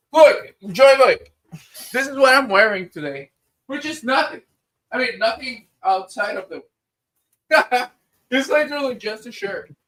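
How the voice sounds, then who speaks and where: A man with an extremely high pitch speaks at a moderate pace, with ordinary pitch variation, big swings in loudness, and long, frequent pauses. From Spanish-speaking country. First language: Spanish. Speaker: streamer. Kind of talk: casual chat.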